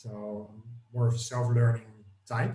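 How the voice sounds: Set in audible room echo, a man's voice carries a dark, mellow tone, a medium pitch and fairly even intonation.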